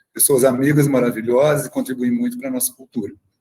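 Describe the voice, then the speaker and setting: A man speaks in a somewhat breathy voice. His pitch variation is ordinary. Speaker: film club activist. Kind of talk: online talk. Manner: talkative.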